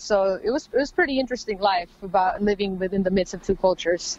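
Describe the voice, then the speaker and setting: A woman with an American accent, medium pitch, ordinary pitch variation and a fairly quick pace. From Los Angeles, California. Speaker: rapper. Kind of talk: interview.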